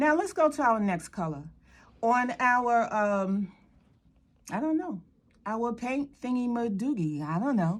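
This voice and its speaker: A woman's animated voice, fairly high-pitched with very wide pitch swings, at a fairly slow pace with long, frequent pauses. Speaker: art instructor. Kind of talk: tutorial.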